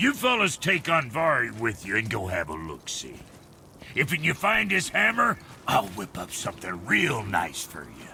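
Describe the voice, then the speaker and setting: A man with a medium pitch speaks at a moderate pace in a put-on character voice. Clear background noise runs behind him. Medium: video game. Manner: brash, folksy slang.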